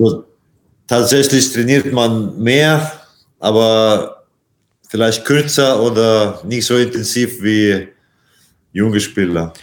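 In a Latvian accent, a man speaks with a medium pitch. His pace is very slow, with long, frequent pauses. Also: ordinary pitch variation. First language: Latvian (speaking German). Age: 40s. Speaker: handball player. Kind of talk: interview. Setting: video call from hotel. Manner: halting, many hesitations.

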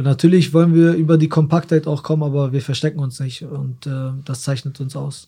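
A man speaks fairly quickly at a fairly high pitch, his somewhat breathy voice dark and mellow in tone, with monotone, flat intonation. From Germany, Osnabrück. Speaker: professional footballer. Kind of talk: casual interview.

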